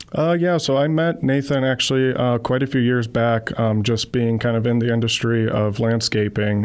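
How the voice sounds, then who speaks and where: With an American accent, a man speaks at a moderate pace and a medium pitch. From US South and Wisconsin. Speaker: landscaping company representative. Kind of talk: radio interview.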